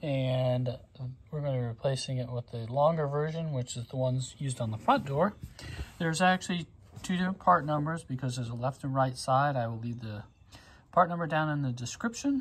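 This man's voice is somewhat breathy, with ordinary pitch variation. He talks at a fairly quick pace. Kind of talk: tutorial. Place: street. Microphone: phone near.

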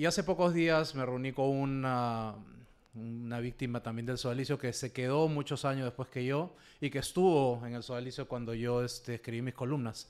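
Medium-pitched man with a normal speaking voice, fairly even intonation and a moderate pace, on a very clean recording with a silent background. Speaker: abuse survivor and activist. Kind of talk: panel discussion.

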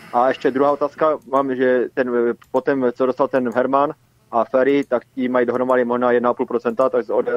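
This man talks fairly quickly. His delivery stays flat and monotone throughout. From Silesia, Czech Republic. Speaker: caller. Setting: phone call.

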